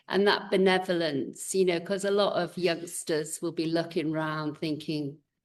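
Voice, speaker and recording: The speaker has an English accent and talks at a moderate pace with fairly even intonation against a quiet background. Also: woman. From England. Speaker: podcast host. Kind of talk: interview conversation.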